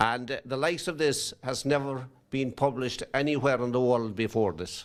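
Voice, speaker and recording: A man with a Kerry accent talks at a moderate pace in a medium pitch with fairly even intonation. The recording is very clean, with a silent background. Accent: Irish, Kerry. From Ireland. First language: Irish. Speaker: priest and book launcher. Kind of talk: speech at book launch.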